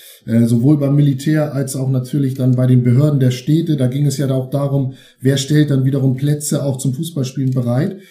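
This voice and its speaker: There is audible room echo as the man speaks. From Schleswig-Holstein (Eutin, Ostholstein). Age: 50s. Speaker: football historian and author. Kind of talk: interview.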